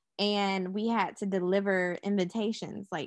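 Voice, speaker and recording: In an American accent, this is a normal speaking voice moving at a fairly slow pace. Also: woman, quiet background. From Charlotte, North Carolina. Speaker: media entrepreneur. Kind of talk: podcast interview.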